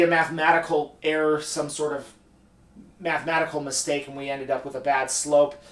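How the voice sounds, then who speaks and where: A man speaks at a moderate pace. Room echo can be heard around his voice. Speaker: economics instructor. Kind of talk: lecture. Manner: halting, self-correcting.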